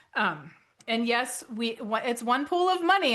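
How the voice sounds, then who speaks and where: A loud woman with a high pitch and a bright, sharp tone, animated and with lively intonation, at a moderate pace against a quiet background. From North Dakota. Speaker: author and financial educator. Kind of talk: webinar presentation.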